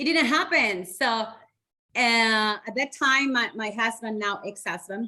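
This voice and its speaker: Speaking fairly slowly with a Spanish accent, a woman uses a bright, sharp tone at a fairly high pitch with ordinary pitch variation against a quiet background. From Chile, Santiago. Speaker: educator and community organizer. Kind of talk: podcast interview.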